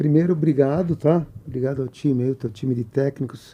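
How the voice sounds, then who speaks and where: A man talks in a fairly high voice with ordinary pitch variation. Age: 60s. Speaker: businessman and mentor. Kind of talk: podcast interview.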